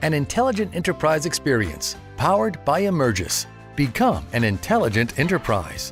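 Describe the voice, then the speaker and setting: Music plays behind a man speaking at a moderate pace. His loudness stays very even. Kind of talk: corporate promo narration.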